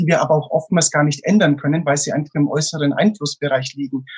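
At a fairly quick pace, a man with a plain, everyday voice speaks at a fairly high pitch with fairly even intonation. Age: 20s. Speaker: motivational speaker. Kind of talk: interview.

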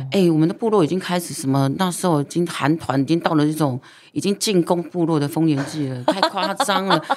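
Over noticeable background noise, a woman with a fairly low pitch speaks fairly quickly in an animated tone with ordinary pitch variation. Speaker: singer and former TV host. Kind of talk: casual chat.

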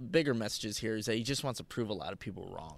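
Heard against a silent background in a very clean recording, a man talks in an unremarkable speaking voice at medium pitch with ordinary pitch variation. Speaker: co-host, sports analyst. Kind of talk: casual sports podcast chat.

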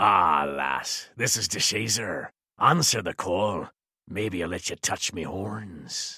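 Using a put-on character voice, a man sounds raspy at a fairly low pitch. He speaks at a fairly slow pace. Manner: gruff, teasing.

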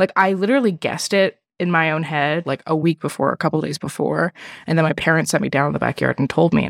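In a very clean recording with a silent background and a dry, close sound with no echo, a woman with very deep, low pitch and vocal fry speaks at a very fast pace with ordinary pitch variation. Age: 20s. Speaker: podcast guest, education worker. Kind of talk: personal story in casual chat.

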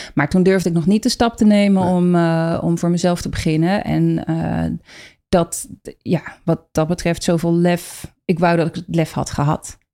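Dark, mellow tone from a woman with a fairly low pitch, at a fairly slow pace, on a very clean recording with a silent background. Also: fairly even intonation. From Rotterdam, Netherlands. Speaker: fermentation teacher, former HR trainer. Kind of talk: interview conversation.

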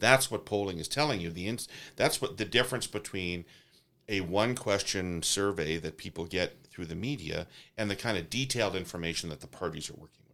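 Over a very clean recording with a silent background, a man with a Canadian accent speaks at a fairly quick pace in a very deep, low pitch, his tone bright and sharp, his pitch varying in an ordinary way and his loudness swinging widely. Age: 50s. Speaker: pollster and political consultant. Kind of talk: discussion. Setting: studio.

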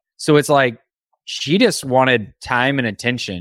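A man talks in an American accent at a medium pitch with ordinary pitch variation. It is an ordinary speaking voice. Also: very clean recording, silent background. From Indiana. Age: 30s. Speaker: entrepreneur and business coach. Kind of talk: interview. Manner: casual, conversational.

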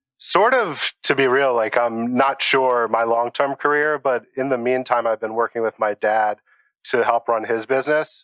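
A normal speaking voice with fairly even intonation and very even loudness goes at a moderate pace. The sound is dry and close with no echo, with a quiet background. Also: man, medium pitch for a man. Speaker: home cook, recipe submitter. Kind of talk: casual interview.

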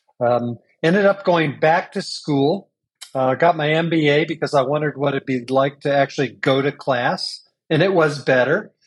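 Moderate pace and ordinary pitch variation in a Midwestern American accent. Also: man, fairly high pitch for a man. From US Midwest (Champaign, Illinois). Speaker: business coach and trainer. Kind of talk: interview conversation.

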